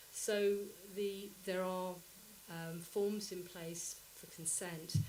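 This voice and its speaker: A woman's voice with fairly even intonation, audible room echo and noticeable background noise. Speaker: composer and researcher. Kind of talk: conference presentation.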